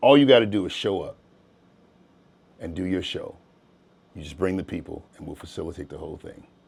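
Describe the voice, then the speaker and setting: A man with a very deep, low voice talks fairly quickly with lively intonation, big swings in loudness, and long, frequent pauses. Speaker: radio personality and studio owner. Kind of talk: casual interview chat. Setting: studio. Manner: animated.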